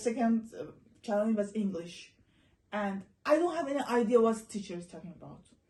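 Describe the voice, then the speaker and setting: A woman's fairly high, somewhat breathy voice with a dark, mellow tone and an Iranian accent, at a very fast pace with long, frequent pauses and lively intonation. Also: big swings in loudness. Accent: Iranian (Persian). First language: Persian (Farsi). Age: young. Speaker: interviewee, former student abroad. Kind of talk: casual interview chat.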